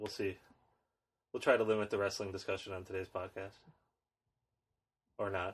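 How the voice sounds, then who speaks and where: A fairly quick, somewhat breathy man with a fairly low pitch and flat, monotone intonation, broken by long, frequent pauses, on a very clean recording with a silent background. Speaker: podcast co-host. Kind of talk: casual chat. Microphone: new microphone setup.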